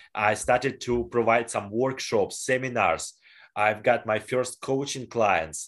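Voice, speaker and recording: Very slow speech from a man with a Russian accent, quiet background. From northwestern Russia. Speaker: personal development coach and speaker. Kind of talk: interview. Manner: halting.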